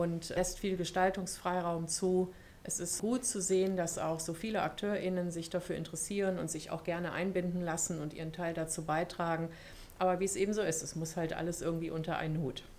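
A woman speaks at a fairly low pitch and a fairly quick pace in a monotone, flat intonation. Noticeable background noise is present. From Germany. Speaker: university equality officer. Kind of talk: podcast interview.

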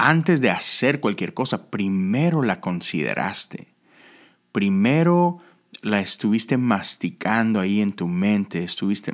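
A man speaks very slowly with very wide pitch swings in a very clean recording with a silent background. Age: 40s. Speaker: pastor. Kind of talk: devotional talk.

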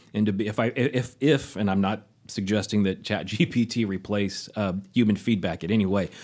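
Fairly low in pitch, a man speaks with an unremarkable speaking voice at a moderate pace. His intonation is fairly even, and the recording is very clean with a silent background. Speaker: writing program coordinator. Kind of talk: panel discussion. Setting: studio.

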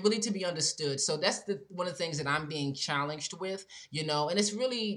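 A woman talks at a moderate pace with ordinary pitch variation. Her tone is fairly bright.

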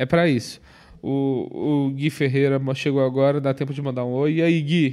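With a dark, mellow tone, a man talks in a fairly high pitch and a flat, monotone intonation. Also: moderate pace. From Minas Gerais, Brazil (Viçosa). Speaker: comedian and podcast co-host. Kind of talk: casual chat.

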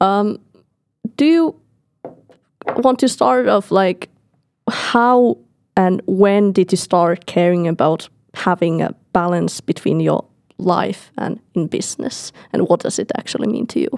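Recorded very cleanly against a silent background with a dry, close sound and no echo, a woman at a medium pitch speaks with lively intonation at a fairly slow pace, taking long, frequent pauses. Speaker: podcast co-host. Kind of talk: podcast interview.

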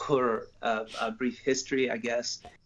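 Using monotone, flat intonation, a man with an American accent speaks at medium pitch and a fairly slow pace. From Georgia, US South. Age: 50s. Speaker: prison counselor, church member. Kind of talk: interview with testimony.

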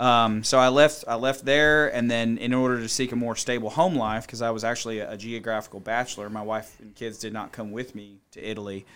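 On a very clean recording with a silent background, a man with an unremarkable speaking voice and medium pitch talks at a fairly quick pace, with hardly any pauses, fairly even intonation and big swings in loudness. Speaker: army soldier, sniper and trainer. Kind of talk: interview.

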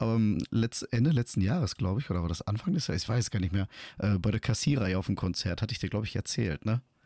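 Very fast and full of lively intonation, a man speaks in a fairly low pitch with a dark, mellow tone. The recording is very clean, with a silent background, and the sound is dry and close with no echo. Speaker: podcast co-host. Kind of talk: casual chat.

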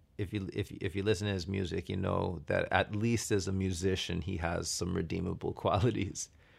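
A man with an American accent talks at a very deep, low pitch and fairly quick pace, sounding somewhat breathy on a very clean recording with a silent background. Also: fairly even intonation. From US suburbs. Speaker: podcast co-host. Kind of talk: casual chat.

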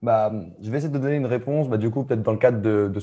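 Against a quiet background, a man talks at a very fast pace, somewhat breathy, with a dark, mellow tone and ordinary pitch variation. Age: 20s. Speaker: growth marketing coach. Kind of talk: casual interview.

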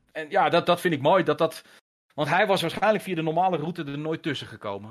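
A man talks at a fairly quick pace in an ordinary speaking voice. His pitch varies in an ordinary way. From Netherlands, moved often, mainly Haarlem. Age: 50s. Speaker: gaming journalist. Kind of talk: casual interview chat.

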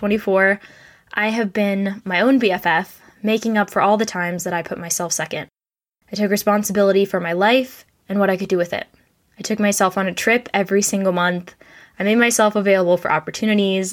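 A woman with an American accent, medium in pitch, at a fairly quick pace with fairly even intonation, on a very clean recording with a silent background. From road-schooled in an RV, US. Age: 20s. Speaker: podcast host. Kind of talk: scripted monologue; casual interview chat.

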